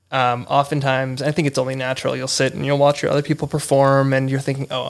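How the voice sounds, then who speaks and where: A man talks at a very fast pace in an American accent. His intonation is monotone and flat. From Los Angeles. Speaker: improv student, podcast guest. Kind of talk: casual interview chat.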